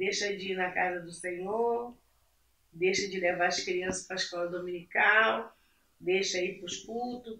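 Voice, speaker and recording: In a normal speaking voice, a woman of medium pitch speaks at a fairly slow pace. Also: ordinary pitch variation. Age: 60s. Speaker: churchgoing mother. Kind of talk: casual chat.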